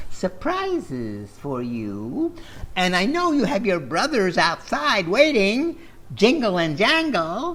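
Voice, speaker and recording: The speaker uses a put-on character voice at a fairly slow pace. Light background noise can be heard. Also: man, high pitch for a man. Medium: read story. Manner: falsely sweet, coaxing, keeps saying my dear.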